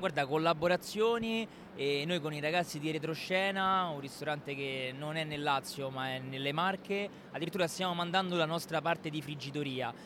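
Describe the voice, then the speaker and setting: A man's bright, sharp tone at a fairly high pitch and a moderate pace. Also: ordinary pitch variation. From Rome, Italy. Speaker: pizzeria owner. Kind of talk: interview.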